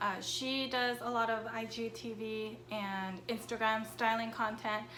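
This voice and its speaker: Over noticeable background noise, a woman speaks at a fairly slow pace in a flat, monotone delivery. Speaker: fashion YouTuber. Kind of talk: casual talk to camera.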